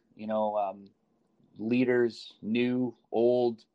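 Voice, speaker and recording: This man talks at a medium pitch with an American accent. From US Midwest, Chicago. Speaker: youth soccer director and coach. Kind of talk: interview.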